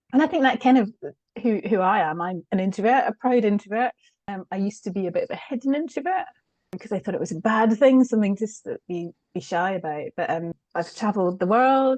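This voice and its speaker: A woman with a Scottish accent speaks fairly quickly at a medium pitch, with lively intonation. The sound is dry and close, with no echo. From Scotland. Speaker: change consultant. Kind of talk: podcast interview. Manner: soft-spoken.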